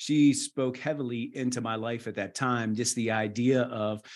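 A man's medium-pitched voice, a normal speaking voice, with an American accent, fairly even intonation, and a quiet background. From West Virginia (rural). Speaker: missionary nurse practitioner and author. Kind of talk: interview conversation.

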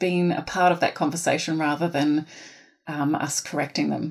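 A woman's very deep, low voice with a New Zealand accent, ordinary pitch variation and a moderate pace, in a very clean recording with a silent background. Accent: New Zealand (Kiwi). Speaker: teacher, phonics specialist. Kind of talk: Q&A interview.

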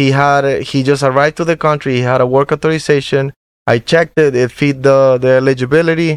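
In a Spanish accent, a man talks at a very fast pace with monotone, flat intonation and a fairly high pitch. His loudness stays very even, and the sound is dry and close with no echo. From Venezuela. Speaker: mortgage loan originator. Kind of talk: interview, professional conversation. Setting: studio.

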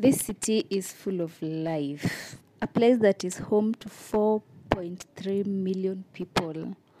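A woman speaks at a very slow pace in a medium pitch with a dark, mellow tone. The sound is dry and close, with no echo. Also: ordinary pitch variation, hardly any pauses, big swings in loudness. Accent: Kenyan. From Kenya, Nairobi. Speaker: travel storyteller. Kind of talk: travel narration.

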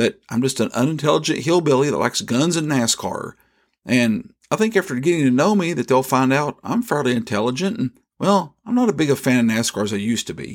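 Very wide pitch swings mark this man's fairly quick speech in a rural Southern US accent. The recording is very clean, with a silent background. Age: 50s. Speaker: devotional podcast host. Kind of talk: devotional podcast narration.

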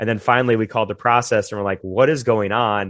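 In an unremarkable speaking voice, a man talks at a fairly low pitch with fairly even intonation. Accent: American. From US South, Florida (Jupiter). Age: 30s. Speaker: gym owner. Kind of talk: interview.

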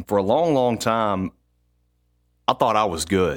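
A man with a normal speaking voice talks at a medium pitch and a moderate pace. The sound is dry and close with no echo, and the recording is very clean, with a silent background. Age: 30s. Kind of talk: personal testimony.

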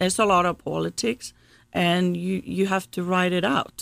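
A woman with a Swedish accent speaks at a fairly low pitch with vocal fry, in a very clean recording over a silent background. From Sweden, Gothenburg. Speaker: automotive executive. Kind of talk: interview.

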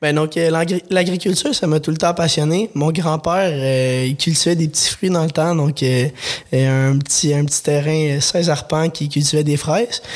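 A man speaks at a fairly slow pace with a fairly high pitch and fairly even intonation. His loudness stays very even, and there is noticeable background noise. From Quebec, Lanaudière. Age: 20s. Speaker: vegetable farmer. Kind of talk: interview. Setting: studio. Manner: halting.

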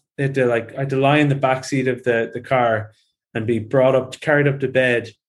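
A man with an Irish accent speaks at a moderate pace and a medium pitch against a quiet background. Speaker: personal trainer and bodybuilder. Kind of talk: casual interview conversation.

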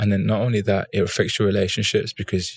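A man speaks in a monotone, flat voice with a fairly low pitch. The recording is very clean, with a silent background and a dry, close sound with no echo. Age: 30s. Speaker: fashion entrepreneur and former footballer. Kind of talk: casual interview.

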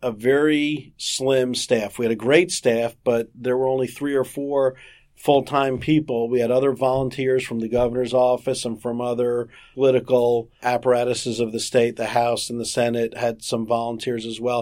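A man speaks at a moderate pace with a medium pitch. His intonation is monotone and flat. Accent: American. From South Florida. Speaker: insurance regulatory attorney. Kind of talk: interview.

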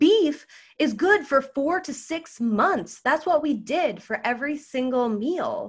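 A woman's high, bright, sharp voice in an American accent, very slow, with very wide pitch swings. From United States. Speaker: podcast host. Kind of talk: solo podcast monologue.

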